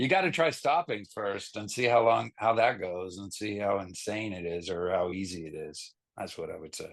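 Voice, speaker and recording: A man with a fairly low pitch talks in a normal speaking voice at a moderate pace against a quiet background. His intonation is lively, his loudness swings widely, and he hardly pauses. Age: 50s. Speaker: rock band vocalist and bassist. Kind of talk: casual interview chat.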